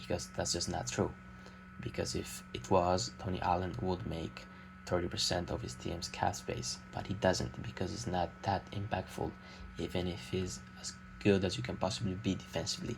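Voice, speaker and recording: Vocal fry colors the lively intonation. The pace is moderate. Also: man, very deep, low pitch for a man. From Italy. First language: Italian. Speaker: amateur basketball YouTuber. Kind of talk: unscripted opinion monologue. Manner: hesitant, many filler sounds.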